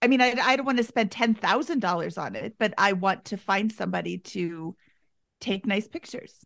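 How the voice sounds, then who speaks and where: Vocal fry from a woman at a fairly high pitch, with ordinary pitch variation and a moderate pace. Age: 50s. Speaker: guest, personal finance coaching. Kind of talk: casual chat.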